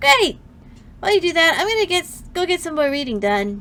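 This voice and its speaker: Putting on a squeaky character voice, a woman sounds bubbly and upbeat, her extremely high pitch swinging very widely at a fairly quick pace. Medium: virtual streamer. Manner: bubbly, upbeat.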